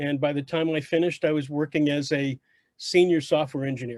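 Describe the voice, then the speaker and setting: With an unremarkable speaking voice, a man talks at a fairly quick pace and fairly high pitch, in a dry, close recording with no echo that is very clean against a silent background. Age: 60s. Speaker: retired software engineer and military veteran. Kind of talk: casual group chat.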